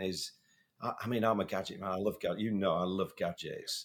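A man is speaking with a British accent. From England. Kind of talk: casual podcast conversation.

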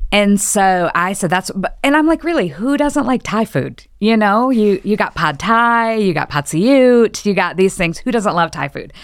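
This woman's medium-pitched voice swings very widely in pitch, moving at a moderate pace with hardly any pauses. The recording is very clean, with a silent background. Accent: Midwestern American. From Michigan. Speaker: church groups director, former missionary. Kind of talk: casual interview.

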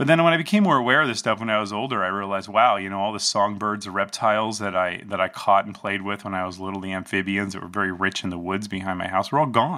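Talking at a very fast pace, a man with an American accent uses a fairly low pitch and ordinary pitch variation. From New Jersey. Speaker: herbalist and acupuncturist. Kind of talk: casual interview. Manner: halting, many fillers.

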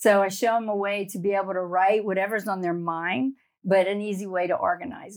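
The speaker has an American accent, on a very clean recording with a silent background. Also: woman. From South Louisiana (Cajun bayou country). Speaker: memoir writing coach and ghostwriter. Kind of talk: interview conversation.

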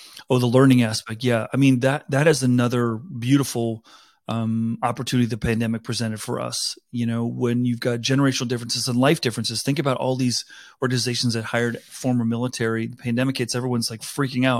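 Here a man speaks at a very fast pace with a medium pitch. His intonation is monotone and flat, on a very clean recording with a silent background. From South Africa. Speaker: talent advisor, former HR executive. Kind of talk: podcast interview.

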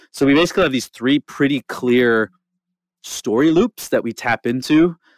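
In a very clean, dry, close recording with a silent background and no echo, a man speaks with ordinary pitch variation. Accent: Canadian. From rural Alberta, Canada. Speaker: nonprofit marketing lead. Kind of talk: interview. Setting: studio.

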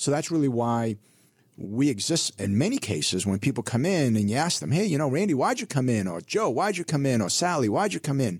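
On a very clean recording with a silent background, a man at medium pitch talks at a fairly quick pace with very wide pitch swings. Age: 50s. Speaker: financial advisor. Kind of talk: casual chat. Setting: studio.

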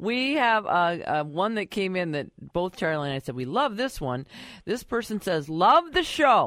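This woman talks at a moderate pace in a medium pitch. Her pitch swings very widely. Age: young. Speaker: radio co-host. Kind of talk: radio call-in show hosting. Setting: radio studio.

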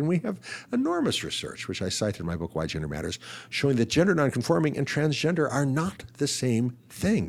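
At a very fast pace, a man swings very widely in pitch, with vocal fry in his voice. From Ohio, US. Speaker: physician and psychologist, author. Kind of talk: interview.

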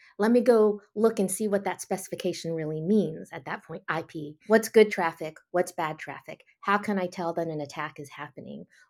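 A woman's normal speaking voice, fairly low in pitch with ordinary pitch variation, at a moderate pace with hardly any pauses, in a very clean recording with a silent background. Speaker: security content executive. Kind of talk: interview and panel recap.

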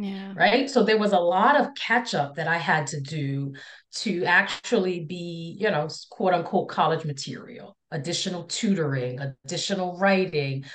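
The woman has a normal speaking voice, pitched fairly low, with lively intonation. She keeps a moderate pace. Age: 40s. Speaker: counselor and speaker on impostor feelings. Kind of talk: casual interview conversation.

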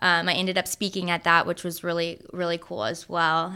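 With an American accent, a woman speaks fairly quickly in a bright, sharp tone at medium pitch, her intonation fairly even, on a very clean recording with a silent background. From Tampa, Florida, US. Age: 20s. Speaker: childhood cancer survivor. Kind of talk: interview.

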